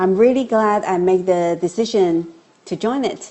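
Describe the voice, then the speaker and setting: At a fairly slow pace, a woman speaks with ordinary pitch variation. Her pitch is medium. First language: not English. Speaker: course student giving testimonial. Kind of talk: testimony.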